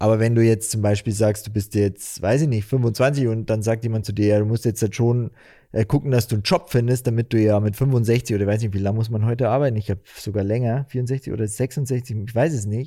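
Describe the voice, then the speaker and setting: Here a man speaks fairly quickly at a medium pitch, his intonation fairly even and his tone dark and mellow. The recording is very clean, with a silent background. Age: 30s. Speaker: podcast co-host. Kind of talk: casual chat.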